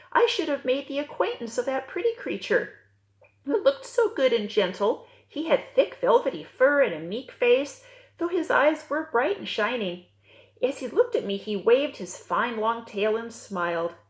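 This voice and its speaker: In a put-on character voice, a woman talks at a moderate pace with a high pitch. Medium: read story. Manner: wide-eyed storytelling.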